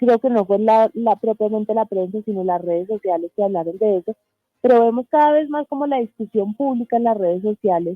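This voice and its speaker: A woman talks at a fairly quick pace. Her voice is fairly high, with ordinary pitch variation. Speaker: journalist and press freedom foundation board member. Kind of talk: radio interview. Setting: radio studio remote interview.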